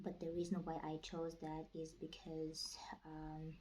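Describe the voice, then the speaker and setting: Her voice fairly low in pitch, a woman with a non-native accent speaks at a fairly slow pace in a dark, mellow, somewhat breathy tone. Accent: non-native English speaker. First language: not English. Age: 20s. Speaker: vlogger. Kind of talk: casual vlog talk. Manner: halting, with many fillers.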